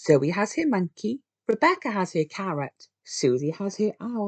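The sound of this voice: Lively intonation marks an unforced reading voice over a quiet background.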